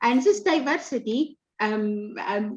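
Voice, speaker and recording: A high-pitched woman's voice with an Arabic accent, against a quiet background. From Sudan. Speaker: writer and activist. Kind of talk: panel discussion. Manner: halting.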